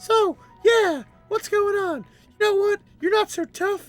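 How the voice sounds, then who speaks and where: A put-on character voice at an extremely high pitch talks at a fairly slow pace over faint background music. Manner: cute.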